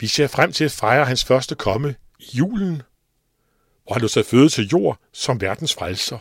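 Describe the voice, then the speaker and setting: In an unremarkable speaking voice at medium pitch, a man talks at a fairly slow pace with lively intonation, the sound dry and close with no echo on a very clean recording with a silent background. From Denmark, East Jutland. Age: 60s. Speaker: radio station leader and lay preacher. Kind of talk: personal devotional talk. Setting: radio studio.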